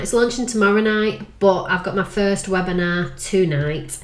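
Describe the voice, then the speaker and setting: Over noticeable background noise and audible room echo, a woman talks fairly slowly at a medium pitch. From northern England, Manchester/Lancashire. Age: 40s. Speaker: life coach. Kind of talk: casual vlog monologue.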